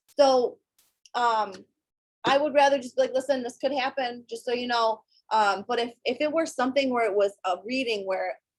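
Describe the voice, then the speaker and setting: A woman's fairly high voice, an unremarkable speaking voice with ordinary pitch variation, at a fairly quick pace. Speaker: psychic medium. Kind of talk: casual, conversational.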